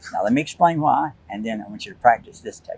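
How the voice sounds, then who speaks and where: A man talks with a fairly high pitch. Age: 70s. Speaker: scuba instructor and beach patrol. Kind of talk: interview answer. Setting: outdoors on a windy beach. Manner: energetic, upbeat.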